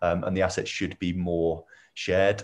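A man with a southern English accent. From England, Milton Keynes. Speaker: startup founder. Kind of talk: interview. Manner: hesitant, many fillers.

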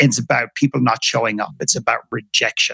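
In an Irish accent, a man speaks at a very fast pace with vocal fry and ordinary pitch variation, the sound dry and close with no echo. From Ireland. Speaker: author and filmmaker. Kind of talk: interview conversation.

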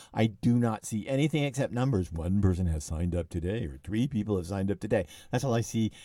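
A man's fairly low, dark, mellow voice, very fast with lively intonation, in a very clean recording with a silent background. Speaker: cookbook author podcast host. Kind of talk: casual podcast chat. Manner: fast talker.

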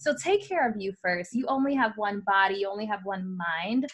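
A woman in an American accent, medium-pitched and somewhat breathy, with lively intonation at a moderate pace. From New York City (Bronx). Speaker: influencer and business owner. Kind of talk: podcast interview.

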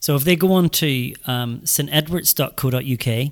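A man with a Northern Irish accent speaks at a fairly slow pace. The sound is dry and close, with no echo. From Northern Ireland, rural. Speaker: school headmaster. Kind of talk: interview. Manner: halting, many fillers and repeats.

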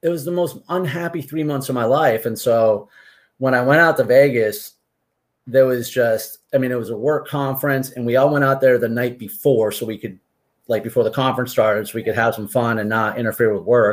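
A man with an unremarkable speaking voice and an American accent, medium in pitch, ordinary in pitch variation, and fairly quick in pace. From Massachusetts (Martha's Vineyard), New England. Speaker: author and amateur athlete. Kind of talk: casual interview.

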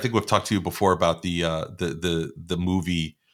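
A man talks at a fairly quick pace with a fairly low pitch. His tone is bright and sharp, with a New York accent. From New York (Long Island and Queens), Puerto Rican. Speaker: podcast host. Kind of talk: interview. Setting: remote call.

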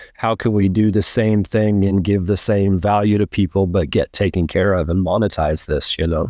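Speaking at a moderate pace with hardly any pauses, a man with an American accent has a fairly low pitch, a dark, mellow tone, fairly even intonation and very even loudness, in a dry, close sound with no echo over a quiet background. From US Pacific Northwest. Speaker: horse trainer. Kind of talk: casual interview chat.

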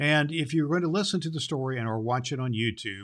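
The very clean recording has a silent background and carries a man's voice. He has a gentle, warm tone and lively intonation. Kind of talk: audiobook-style Bible reading. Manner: slow, gentle, warm, reverent reading; formal storybook cadence, unhurried.

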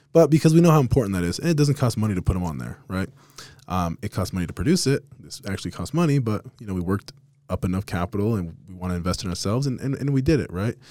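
A man's fairly low, dark, mellow voice at a very fast pace, with very wide pitch swings and an American accent. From Las Vegas, Nevada. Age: 30s. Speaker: podcast host, real estate team leader. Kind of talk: casual interview. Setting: office studio.

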